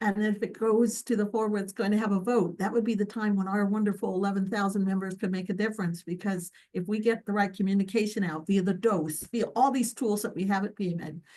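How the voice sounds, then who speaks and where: Delivered at a very fast pace with hardly any pauses, the dark, mellow tone holds a fairly even intonation. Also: woman, medium pitch for a woman. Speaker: physician leader. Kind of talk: video call presentation. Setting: video call.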